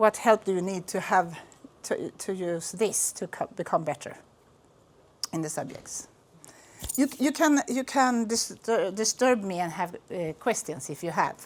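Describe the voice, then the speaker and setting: A woman with a Swedish accent speaks at a medium pitch and a fairly slow pace, with very wide pitch swings and long, frequent pauses. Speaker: school principal. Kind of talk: presentation to visitors. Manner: halting.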